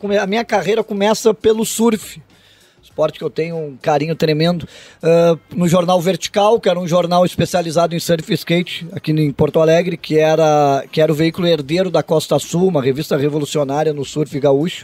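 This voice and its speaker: A man talks at a fairly quick pace with a high pitch and ordinary pitch variation. The sound is dry, with no echo. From southern Brazil, Rio Grande do Sul. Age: 50s. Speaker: radio sports journalist. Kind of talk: casual interview chat. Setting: studio. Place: studio. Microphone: studio mic.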